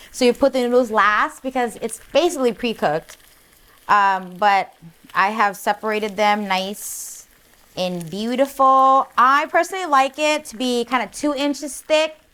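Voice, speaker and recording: A woman speaks loudly at a high pitch and a moderate pace. Her tone is animated, bright and sharp, with lively intonation. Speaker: cooking show host. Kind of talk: cooking tutorial. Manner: animated, sassy.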